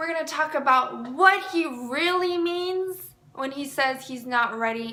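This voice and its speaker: A woman with a high pitch uses a raised, projected voice. Her intonation is lively and her pace fairly slow. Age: 20s. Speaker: mental health professional and dating advice vlogger. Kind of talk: casual dating advice talk to camera. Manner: warm, chatty.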